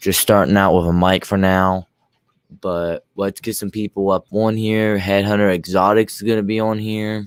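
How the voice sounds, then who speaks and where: A man's fairly low, monotone, flat voice at a moderate pace, recorded dry and close with no echo. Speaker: YouTube live streamer, reptile keeper. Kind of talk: casual live stream chat. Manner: usually loud. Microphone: new microphone, first time using it.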